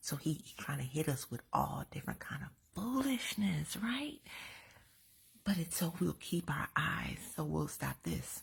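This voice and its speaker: A woman whispers. Her pace is fairly slow. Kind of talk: inspirational talk. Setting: at home. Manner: whispering; animated.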